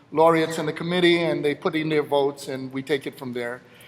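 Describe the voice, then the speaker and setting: Noticeable background noise fills the recording. Over it, a man talks in a fairly high pitch. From Jamaica. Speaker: awards presenter, philosopher. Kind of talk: award ceremony presentation.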